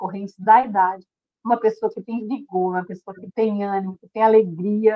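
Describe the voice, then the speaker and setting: A woman's fairly high-pitched, fairly quick delivery in an ordinary speaking voice. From Brazil, Federal District. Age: 60s. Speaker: weight-loss program participant. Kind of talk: testimony. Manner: emotional, earnest.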